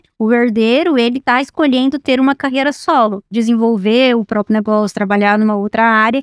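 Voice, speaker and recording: A woman's plain, everyday voice, fairly high in pitch, with ordinary pitch variation, moderate pace, very even loudness, and a dry, close sound with no echo. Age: 20s. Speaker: executive director of agricultural consulting firm. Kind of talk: podcast interview.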